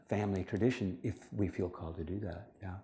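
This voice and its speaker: Audible room echo surrounds a man's dark, mellow tone. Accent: American. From United States. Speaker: spiritual teacher and lecturer. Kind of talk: lecture. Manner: fast.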